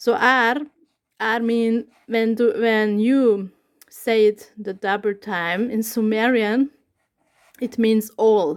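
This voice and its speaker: On a very clean recording with a silent background, a woman with a Hungarian accent speaks very slowly at a fairly high pitch, with fairly even intonation and long, frequent pauses. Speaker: YouTuber. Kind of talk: casual talk to camera. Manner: halting.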